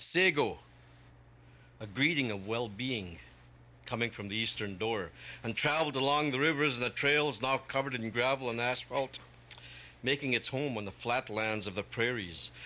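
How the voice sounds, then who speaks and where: A man speaks in a plain, everyday voice with a medium pitch. His pace is moderate, with ordinary pitch variation. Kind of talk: poetry reading. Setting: stage with audience.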